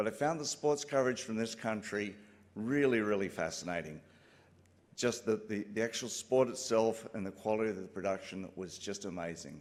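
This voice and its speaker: A man with an Australian accent speaks at a moderate pace and a fairly low pitch. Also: ordinary pitch variation. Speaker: broadcast engineer, company co-founder. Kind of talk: acceptance speech. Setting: stage with audience.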